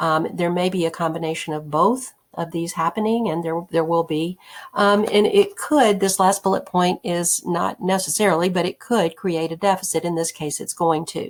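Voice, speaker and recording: Her voice sits fairly low for a woman, moving through ordinary pitch variation at a moderate pace. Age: 60s. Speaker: economics teacher. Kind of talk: recorded lecture. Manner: hesitant, many fillers.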